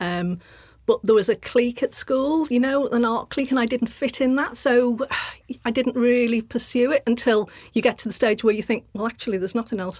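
Using an ordinary speaking voice, a woman speaks at a fairly quick pace. Her pitch sits fairly high. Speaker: artist and sculptor. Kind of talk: casual interview chat.

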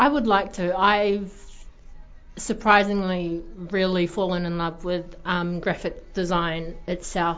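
Very slowly, a woman speaks at a medium pitch in a New Zealand accent, with audible room echo. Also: fairly even intonation. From New Zealand, Taranaki. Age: young. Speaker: graphic design student. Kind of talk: radio interview. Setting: radio studio.

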